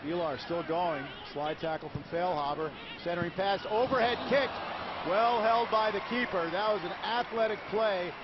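A man speaks with a high pitch at a moderate pace. Noticeable background noise can be heard. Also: ordinary pitch variation. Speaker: play-by-play commentator. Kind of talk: live play-by-play sports commentary. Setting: broadcast highlights over match footage.

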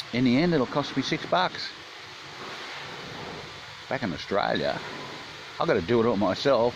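A man speaks at a moderate pace, the sound dry with no echo, over noticeable background noise. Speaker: traveller vlogger. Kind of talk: casual vlog chat. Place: shop. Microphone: phone near.

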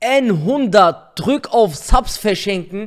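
High-pitched male voice with big pitch swings

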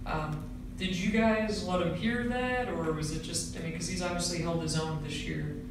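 There is noticeable background noise. Strong room echo fills the recording. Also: moderate pace. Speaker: sports reporter. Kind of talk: press interview. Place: meeting room.

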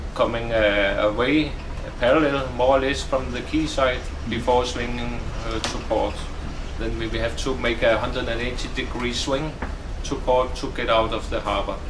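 Noticeable background noise can be heard. A man talks over it at a moderate pace. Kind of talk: interview answer.

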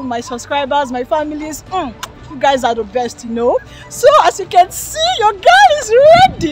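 Over light background noise, a woman speaks with lively intonation, the sound dry with no echo. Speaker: vlogger. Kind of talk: casual vlog chat. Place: street. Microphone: phone near.

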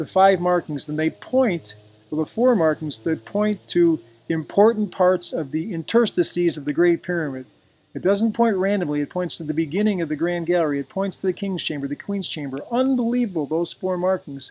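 With music in the background, the words come at a fairly quick pace. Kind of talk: narrated slideshow explanation.

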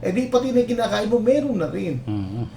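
The man's voice carries audible room echo. Noticeable background noise surrounds it. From Philippines, Nueva Ecija. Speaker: engineer, climate change consultant. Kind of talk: interview. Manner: halting, many fillers.

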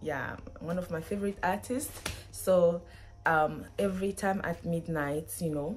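Faint music plays behind a woman speaking at a fairly slow pace and a fairly low pitch. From Benin. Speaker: student, vlogger. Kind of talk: casual talk to camera. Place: home room. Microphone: phone near.

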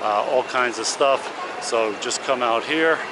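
A man talks at a fairly slow pace with fairly even intonation, the sound dry with no echo and noticeable background noise behind him. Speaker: travel vlogger. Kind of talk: casual vlog walking tour commentary. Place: station. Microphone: phone near.

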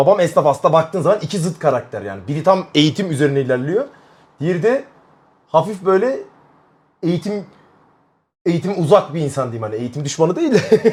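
Loud, animated male voice, high in pitch, at a fairly quick pace with lively intonation and long, frequent pauses. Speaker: streamer. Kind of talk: casual chat.

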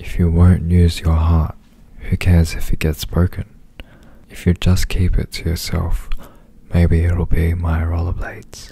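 Soft-spoken and monotone, a man talks at a very deep, low pitch with flat intonation. His fairly slow delivery has long, frequent pauses, and the sound is dry with no echo. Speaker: performer doing ASMR interview. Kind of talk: soft ASMR reading and chat. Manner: soft, close-mic ASMR reading. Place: home room. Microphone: studio mic.

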